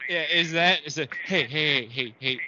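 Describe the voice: A man speaks at a moderate pace with a fairly high pitch. His tone comes across bright and sharp. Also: ordinary pitch variation.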